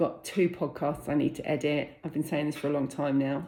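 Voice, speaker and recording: The speaker is a woman with a British accent. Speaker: vlogger and freelance business owner. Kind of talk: casual vlog talk to camera. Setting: at home. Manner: fast.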